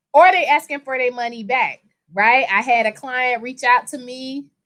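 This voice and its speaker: Loud and animated, a woman speaks at a moderate pace and a high pitch against a quiet background. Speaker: personal injury attorney. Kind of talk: casual chat.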